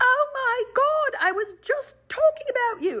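Putting on a squeaky character voice in an Australian accent, a female-sounding speaker goes at a fairly slow pace with extremely high pitch.

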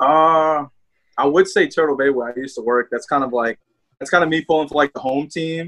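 This man talks at a fairly quick pace in a strong New Orleans accent, his pitch fairly high and his intonation fairly even, in a dry, close recording with no echo. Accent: Southern New Orleans accent, fairly strong. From New Orleans, Louisiana. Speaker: hockey fan and podcaster. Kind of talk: casual chat.

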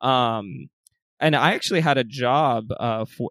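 Vocal fry colors this American accent on a very clean recording with a silent background. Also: man, dry, close sound with no echo. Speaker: podcast host. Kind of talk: scripted intro then interview chat.

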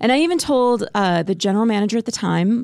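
With an American accent and a normal speaking voice, a woman talks at a moderate pace with lively intonation, the sound dry and close with no echo. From US Midwest (Spirit Lake, Iowa). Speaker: TV morning news anchor. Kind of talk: casual chat.

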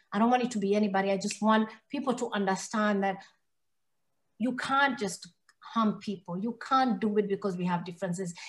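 Somewhat breathy and at a medium pitch, a woman with an American accent talks at a fairly quick pace with fairly even intonation and long, frequent pauses. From Kenya and Somalia (Somali), later Minnesota. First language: English (Swahili second, Somali third). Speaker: hate crime survivor and speaker. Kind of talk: interview, personal testimony.

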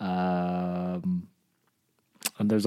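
A man's very deep, low-pitched voice with a dark, mellow tone. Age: 30s. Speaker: host's partner. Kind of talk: casual chat.

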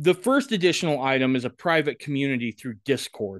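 A man with a plain, everyday voice talks at a moderate pace and fairly high pitch, with ordinary pitch variation and a quiet background. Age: 40s. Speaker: podcast host. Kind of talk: casual chat. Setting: video call.

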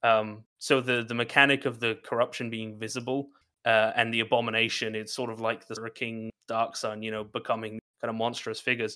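At a fairly quick pace, a man speaks in a bright, sharp tone at medium pitch with monotone, flat intonation, on a very clean recording with a silent background. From Ireland. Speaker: tabletop game writer and streamer. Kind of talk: interview. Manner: halting, many fillers.

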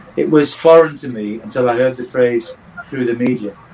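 Noticeable background noise, and a man at a fairly quick pace with a medium pitch and ordinary pitch variation. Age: 60s. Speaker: football coach and former manager. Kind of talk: podcast interview.

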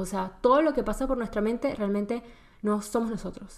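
In a plain, everyday voice, a woman speaks fairly high, her pitch shifting in a normal way. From Venezuela. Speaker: podcast host. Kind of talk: personal monologue. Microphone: laptop camera mic.

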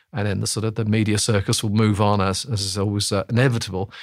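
A man speaks very fast in a monotone, flat intonation at a fairly low pitch, on a very clean recording with a silent background. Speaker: political economist. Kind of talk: interview answers. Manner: hesitant, many filler words.

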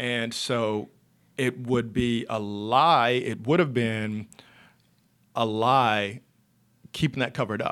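In a very clean recording with a silent background, a man with an American accent speaks at a very slow pace with fairly even intonation and long, frequent pauses. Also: medium pitch for a man. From North Carolina (Monroe, near Charlotte). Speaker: author and speaker. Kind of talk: interview conversation. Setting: studio.

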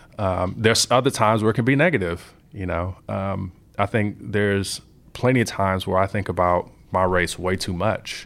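With an American accent, a man talks at a fairly low pitch with ordinary pitch variation in an unremarkable speaking voice. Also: moderate pace. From Compton, Los Angeles, California. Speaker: software engineer. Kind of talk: interview.

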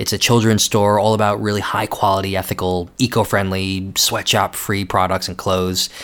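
A man with an American accent talks in a monotone, flat intonation at a fairly low pitch. His pace is moderate, with hardly any pauses. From United States. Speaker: podcast host, magazine editor. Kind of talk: scripted narration.

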